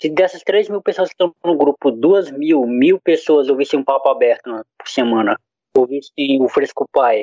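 Dark and mellow in tone, this man's voice sits fairly high in pitch with ordinary pitch variation. He speaks at a moderate pace. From Brazil, Acre. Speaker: podcaster. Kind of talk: casual chat.

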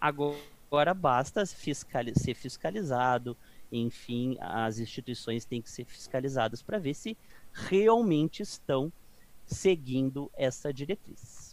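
A man speaks at a fairly slow pace with lively intonation and a medium pitch. His loudness swings widely from moment to moment. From Brazil, interior of Rio Grande do Sul. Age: 40s. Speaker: radiology technologist and professor. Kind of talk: casual interview. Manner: halting.

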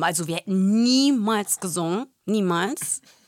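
A woman with a plain, everyday voice speaks with lively intonation. Her pitch is fairly high, and the sound is dry and close with no echo. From Germany, Portuguese-Greek family. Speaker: podcast co-host. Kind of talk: casual chat.

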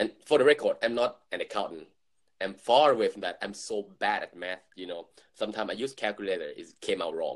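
Speaking at a fairly quick pace, a man lets his loudness swing widely. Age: 20s. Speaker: podcast co-host. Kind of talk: casual chat.

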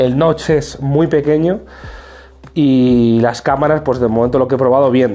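Amid noticeable background noise, a man talks at a moderate pace in a fairly high pitch with ordinary pitch variation. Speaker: tech youtuber. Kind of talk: casual vlog review.

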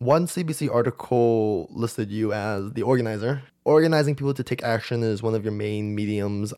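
In a very clean recording with a silent background, a man with a Canadian accent speaks at a fairly quick pace with hardly any pauses, his medium-pitched voice dark and mellow with ordinary pitch variation. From Edmonton, Canada. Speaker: podcast host. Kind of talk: casual interview. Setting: recorded in a house.

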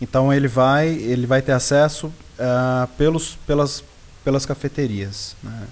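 At a very slow pace, a man talks with fairly even intonation and medium pitch. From Brazil, Serra da Mantiqueira (Minas Gerais). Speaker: coffee farmer. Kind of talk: interview.

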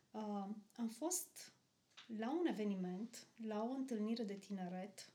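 Somewhat breathy and fairly high-pitched, the woman's voice carries a dark, mellow tone and ordinary pitch variation. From Romania, Arad. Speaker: kindergarten teacher, pastor's wife. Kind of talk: casual chat.

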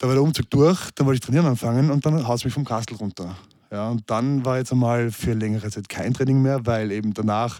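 This man's voice has a dark, mellow tone and a medium pitch, moving at a fairly quick pace with fairly even intonation. The recording is very clean, with a silent background. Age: 30s. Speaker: fitness trainer and social media personality. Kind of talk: casual interview chat.

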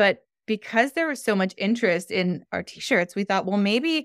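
A woman in a Canadian accent talks at a moderate pace and medium pitch in an unremarkable speaking voice, recorded very cleanly with a silent background and dry, close sound with no echo. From Canada, Toronto area. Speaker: podcast host and skating organization founder. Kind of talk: interview.

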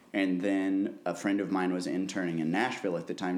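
A very deep, low man's voice at a fairly quick pace, with audible room echo. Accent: American. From Missouri (Columbia). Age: 20s. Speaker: concert promoter and musician. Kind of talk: casual interview.

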